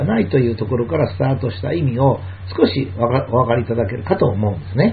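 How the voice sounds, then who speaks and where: The speech comes at a fairly quick pace with audible room echo and noticeable background noise. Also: man. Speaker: lecturer and commentator. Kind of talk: monologue lecture.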